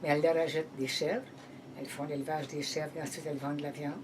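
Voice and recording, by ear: A woman speaks at a fast pace with a low pitch. Her tone is slightly mellow.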